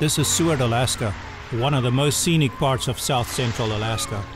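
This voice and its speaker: Over music in the background, a man speaks in a dry sound with no echo. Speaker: video host. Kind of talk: interview answer. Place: beach.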